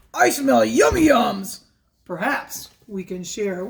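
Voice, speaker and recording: The voice is a put-on character voice, pitched fairly high. Its speed is fairly slow. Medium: read story. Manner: grinning, friendly.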